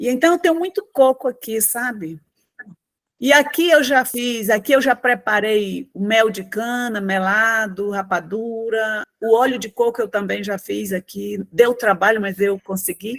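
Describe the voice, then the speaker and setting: In an ordinary speaking voice, a woman talks at a fairly slow pace, fairly high in pitch and with lively intonation. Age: 60s. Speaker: program participant. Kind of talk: testimony.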